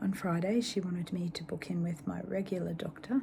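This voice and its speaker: Female speaker in an Australian accent, her pitch varying in an ordinary way. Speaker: cancer patient vlogger. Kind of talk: personal video diary.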